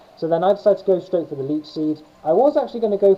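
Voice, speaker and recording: Music is playing behind the speaker. He is a man, and he talks very fast. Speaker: gaming YouTuber. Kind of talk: gameplay commentary. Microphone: poor video quality, no capture card.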